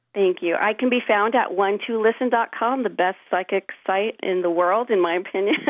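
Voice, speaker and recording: A woman talks at a moderate pace and medium pitch, with hardly any pauses, ordinary pitch variation and very even loudness. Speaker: voice coach guest. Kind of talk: interview chat. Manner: loud, expressive.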